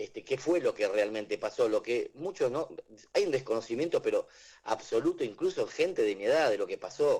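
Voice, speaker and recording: Speaking with an Argentine accent, a man moves along at a fairly quick pace. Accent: Rioplatense Argentine Spanish. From Argentina. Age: 60s. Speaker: author and teacher. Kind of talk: radio interview. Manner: hesitant, repeats words.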